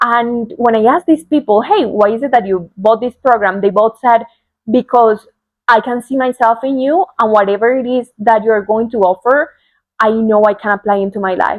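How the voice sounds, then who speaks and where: A woman's fairly high voice in a Spanish accent, with ordinary pitch variation. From Colombia. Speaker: spiritual coach. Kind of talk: personal talk to camera. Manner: heartfelt, unscripted.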